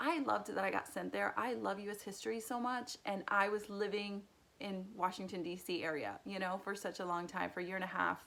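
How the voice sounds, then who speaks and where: A woman's medium-pitched voice at a fairly quick pace, with ordinary pitch variation and hardly any pauses. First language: Spanish. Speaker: youtuber. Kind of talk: casual personal vlog.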